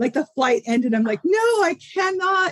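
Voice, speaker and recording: A woman speaks with a dry, close sound and no echo. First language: Italian (Sicilian). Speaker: data center co-founder and executive. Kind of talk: podcast interview.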